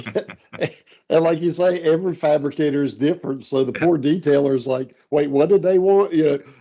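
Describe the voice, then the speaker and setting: A man with a North Carolina accent, dark, mellow tone, fairly high pitch, ordinary pitch variation and a fairly quick pace. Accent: North Carolina Southern. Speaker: steel software integration expert. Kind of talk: casual podcast interview. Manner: casual, relaxed.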